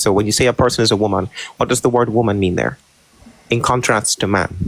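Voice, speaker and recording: Noticeable background noise sits behind a man speaking at medium pitch. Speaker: online debater. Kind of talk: heated debate. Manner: monotone.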